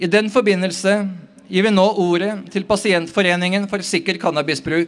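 A man speaks at a moderate pace in a high voice. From Norway. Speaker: rally organiser and speaker. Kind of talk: rally speech. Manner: formal, prepared. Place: street. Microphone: podium.

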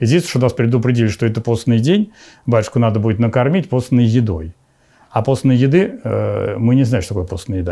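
Speaking at a fairly quick pace, a man with a medium pitch and a dark, mellow tone uses lively intonation against a quiet background. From Moscow region, Russia. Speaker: bishop. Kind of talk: interview testimony. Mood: calm, warm, slightly amused. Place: home room.

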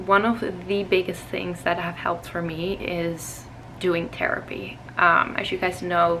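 A woman's fairly low voice, monotone and flat in intonation, at a fairly slow pace over light background noise. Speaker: vlogger. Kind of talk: casual vlog chat.

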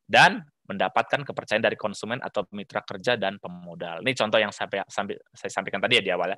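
A man at a very fast pace, fairly low in pitch, with a bright, sharp tone, ordinary pitch variation, a quiet background and a dry sound with no echo. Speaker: management systems auditor; webinar presenter. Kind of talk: webinar presentation. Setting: video call. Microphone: headset problem, audio dropped out; video call.

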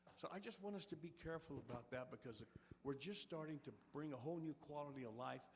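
Talking at a fairly quick pace, a man uses a fairly high pitch and lively intonation. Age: 60s. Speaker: resident speaking at public comment. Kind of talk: public comment at city council meeting. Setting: city council meeting. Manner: earnest, somewhat halting.

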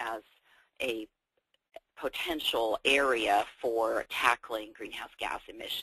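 A woman with an American accent speaks very slowly in a bright, sharp tone, the sound dry and close with no echo. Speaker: building retrofit expert. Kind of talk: webinar presentation. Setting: video call.

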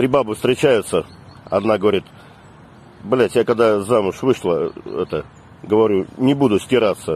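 At a fairly slow pace, the speaker uses ordinary pitch variation and very even loudness, the sound dry with no echo. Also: man. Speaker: comic short-video creator. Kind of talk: deadpan joke monologue to camera. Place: street. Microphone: phone near.

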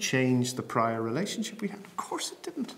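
A man is speaking. He talks with an Irish accent. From Bray, County Wicklow, Ireland. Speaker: programme manager for public theology. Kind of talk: interview answer. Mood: calm, thoughtful, personal. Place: home room.

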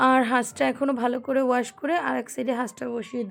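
A woman's high-pitched voice. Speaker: lifestyle vlogger. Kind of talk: vlog narration. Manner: soft-spoken.

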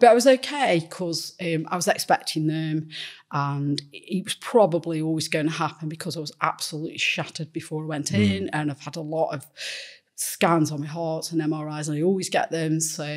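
A woman speaks at a fairly quick pace. Her pitch is very deep and low. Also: ordinary pitch variation, quiet background. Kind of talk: personal conversation in therapy. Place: studio. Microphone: studio mic.

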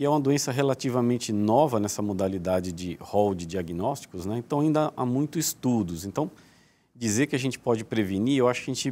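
With a dark, mellow tone and medium pitch, a man speaks at a fairly quick pace using lively intonation. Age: 40s. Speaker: neurosurgeon; guest. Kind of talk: TV interview. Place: studio. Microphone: lapel.

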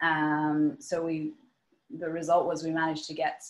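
With a northwest Irish accent, a woman speaks at a moderate pace in a fairly low voice. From Ireland, Sligo; Ireland. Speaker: knitwear designer. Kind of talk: webinar presentation; Q&A answers. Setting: video call. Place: home room. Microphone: webcam.

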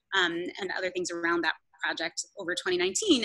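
The speech has ordinary pitch variation over a quiet background. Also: woman. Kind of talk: interview answer. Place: hall. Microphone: video call.

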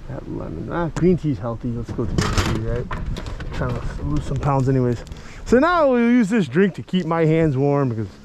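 Noticeable background noise accompanies a man speaking at a moderate pace in a dry sound with no echo. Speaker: travel vlogger. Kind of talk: casual vlog chat. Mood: playful, joking. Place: street. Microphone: phone near.

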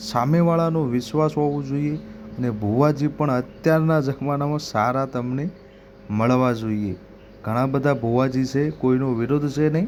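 In a plain, everyday voice, a man of medium pitch speaks with ordinary pitch variation. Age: young. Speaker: YouTube devotional channel host. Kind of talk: explainer talk to camera.

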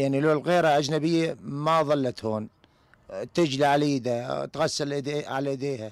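Against a quiet background with dry sound and no echo, a man speaks at a moderate pace in a fairly high voice with fairly even intonation. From Syria, southern Aleppo countryside; Syria. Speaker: displaced camp resident. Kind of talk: interview testimony; interview answer. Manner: halting. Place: tent. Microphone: handheld.

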